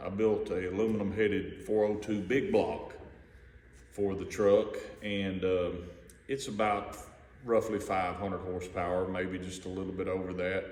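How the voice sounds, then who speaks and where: In a room with audible echo, a man speaks at a moderate pace with a fairly low pitch and monotone, flat intonation. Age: 50s. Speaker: hobbyist car builder. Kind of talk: casual video walkaround. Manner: relaxed, with many fillers.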